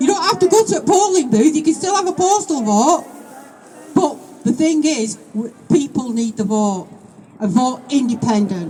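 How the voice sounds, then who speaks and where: Someone speaks with a Manchester accent over noticeable background noise. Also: moderate pace. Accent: northern English, Oldham. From northern England, Oldham. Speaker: political speaker at a protest rally. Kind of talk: rally speech. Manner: impassioned, repetitive pleading.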